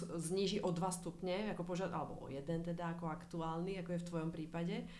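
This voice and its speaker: A woman's medium-pitched voice in audible room echo. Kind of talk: casual interview.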